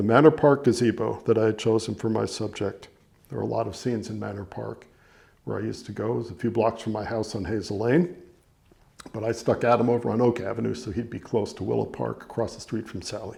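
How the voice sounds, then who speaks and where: A man with an American accent talks very fast at a medium pitch, with vocal fry and a dark, mellow tone. His loudness swings a lot. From New York (Larchmont, Westchester). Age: 70s. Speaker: novelist. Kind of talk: reading aloud; casual talk. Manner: halting.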